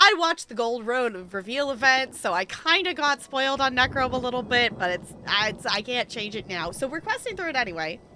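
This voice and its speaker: A woman speaks in a raised, projected voice at a high pitch. Her pitch swings very widely. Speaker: video game streamer. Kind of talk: live game stream chat. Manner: fast.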